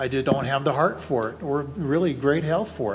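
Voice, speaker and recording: Somewhat breathy, a man speaks at a fairly high pitch. His pace is moderate. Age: 60s. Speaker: planning commissioner. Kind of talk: public meeting deliberation.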